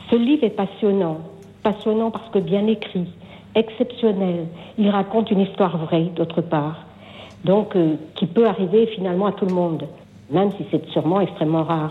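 With long, frequent pauses, a woman speaks at a moderate pace in a medium pitch with ordinary pitch variation. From Brittany, France. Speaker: caller. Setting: phone call.

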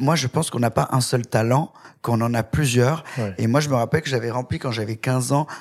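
Here is a man with an unremarkable speaking voice, pitched medium. He goes at a fairly quick pace with ordinary pitch variation. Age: 30s. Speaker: hairdresser and TV presenter. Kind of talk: interview.

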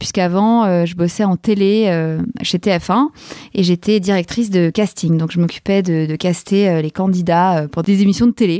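This woman talks at a fairly slow pace with fairly even intonation and a dark, mellow tone, in a dry, close recording with no echo. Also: medium pitch for a woman. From Paris, France. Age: 40s. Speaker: podcaster. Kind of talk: interview. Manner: hesitant, many fillers.

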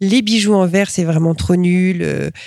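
Recorded dry and close with no echo, a woman speaks at a medium pitch with ordinary pitch variation. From France, Reims area. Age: 40s. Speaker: glass artist and artistic director. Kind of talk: interview. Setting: glass workshop library. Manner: hesitant with repetitions.

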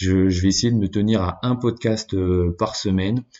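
A man's fairly low voice at a fairly slow pace, with fairly even intonation. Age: 20s. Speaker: podcast host. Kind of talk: solo monologue. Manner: halting.

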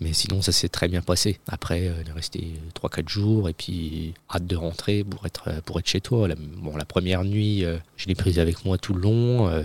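A somewhat breathy man talks at a fairly slow pace with fairly even intonation. The sound is dry and close, with no echo. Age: 30s. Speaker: father, guest. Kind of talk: casual chat. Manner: halting.

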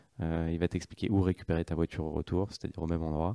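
The voice has a dark, mellow tone. The recording is very clean with a silent background. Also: man. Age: 30s. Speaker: startup co-founder. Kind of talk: interview. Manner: hesitant, with fillers.

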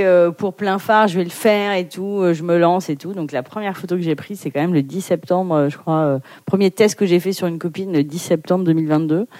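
A woman talks at a moderate pace in a fairly low pitch, her tone dark and mellow and her pitch variation ordinary. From Paris, France. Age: 40s. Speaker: photographer and climate activist. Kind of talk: interview.

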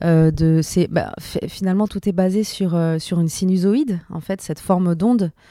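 A woman with a dark, mellow tone talks fairly slowly with fairly even intonation on a very clean recording with a silent background. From Paris and Venezuela. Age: 40s. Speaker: musician and singer. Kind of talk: interview.

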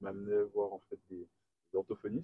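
A man is speaking. His pace is fairly quick. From Guadeloupe. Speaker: engineer. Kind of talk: interview. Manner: hesitant.

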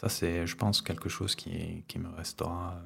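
A man speaks at a very slow pace in a very deep, low pitch. His voice is somewhat breathy. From Ariège, southwest France. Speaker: wildlife photographer. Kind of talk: casual chat. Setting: at his home.

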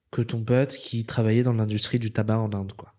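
The man's voice has a dark, mellow tone. His pitch is medium, and the audio is very clean with a silent background. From Madagascar. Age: 30s. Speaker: business strategy consultant. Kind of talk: interview conversation. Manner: halting, many repetitions and fillers.

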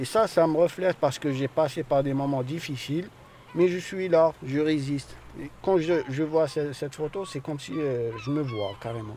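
Here is a man with a normal speaking voice. He talks at a moderate pace with ordinary pitch variation. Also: fairly high pitch for a man. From Algeria. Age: 30s. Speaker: asylum seeker, workshop participant. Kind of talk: testimony.

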